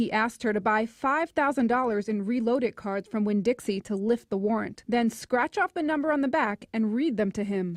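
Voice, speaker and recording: An unremarkable speaking voice, a woman's at a fairly high pitch, moves at a moderate pace with hardly any pauses and ordinary pitch variation, in a dry, close sound with no echo against a quiet background. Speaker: TV news reporter. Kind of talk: TV news report.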